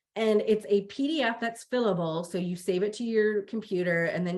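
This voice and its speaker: In an ordinary speaking voice, a woman talks at a moderate pace and medium pitch with ordinary pitch variation against a quiet background. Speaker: webinar presenter on prevention careers. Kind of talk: webinar presentation.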